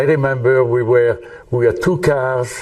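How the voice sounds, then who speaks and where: With a French accent, a man speaks at a fairly high pitch. Noticeable background noise and audible room echo are present. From France. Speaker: retired engineer and volunteer. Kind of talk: interview testimony. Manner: halting, many fillers.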